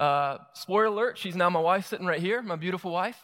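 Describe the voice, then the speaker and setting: A man talks at a fairly quick pace in a Southern US accent. His tone is bright and sharp, with ordinary pitch variation. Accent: Southern US (Georgia). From US South, South Georgia (Moultrie). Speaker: pastor. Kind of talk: sermon. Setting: church.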